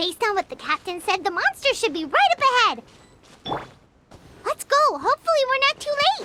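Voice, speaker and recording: Pitched extremely high, a put-on character voice swings very widely in pitch at a fairly quick pace, leaving long, frequent pauses. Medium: video game. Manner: energetic, expressive.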